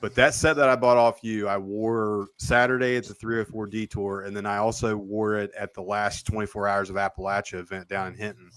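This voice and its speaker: A man's unremarkable speaking voice, fairly low in pitch, fairly quick with hardly any pauses, fairly even in intonation yet with big swings in loudness, on a very clean recording with a silent background. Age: 30s. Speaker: podcast host and motorcycle racer. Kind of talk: interview.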